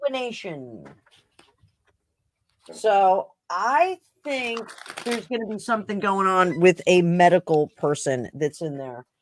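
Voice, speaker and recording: The voice moves at a fairly slow pace with long, frequent pauses, very wide pitch swings and big swings in loudness, in a dry, close sound with no echo. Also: woman, medium pitch for a woman. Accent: slight New Jersey. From New Jersey. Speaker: tarot reader. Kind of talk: casual chat.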